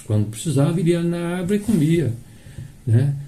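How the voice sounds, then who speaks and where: In audible room echo, a man speaks at a fairly quick pace with lively intonation. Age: 60s. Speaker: spiritist lecturer. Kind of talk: sermon. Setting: live stream of a public meeting. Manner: halting.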